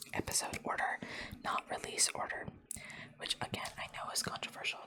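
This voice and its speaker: A woman whispers at a fairly quick pace against noticeable background noise. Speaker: ASMR creator. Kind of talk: ASMR rambling, showing items. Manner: whispered.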